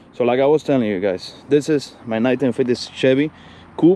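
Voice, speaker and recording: With a Spanish accent, the speaker keeps a fairly quick pace and fairly even intonation over noticeable background noise. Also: man. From Cuba. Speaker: classic car YouTuber. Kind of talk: casual vlog walkthrough. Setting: outdoors.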